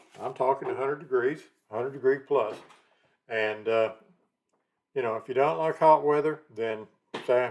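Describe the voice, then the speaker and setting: The speaker talks in a Texan accent at a moderate pace with lively intonation. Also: man. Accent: Texan, noticeable. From Texas, Dallas. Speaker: realtor, channel host. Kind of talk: casual talk to camera.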